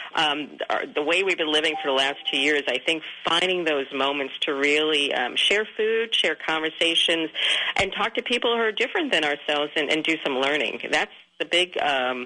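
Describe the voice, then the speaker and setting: Over noticeable background noise, a woman with a very deep, low voice talks at a moderate pace with lively intonation and very even loudness. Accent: New York. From Queens, New York City. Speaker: author and communications consultant. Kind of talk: radio interview. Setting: radio studio.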